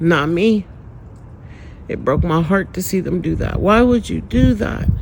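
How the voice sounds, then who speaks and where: At a fairly slow pace, a man speaks in a high pitch with an animated tone over noticeable background noise. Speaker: spiritual vlogger. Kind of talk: personal testimony.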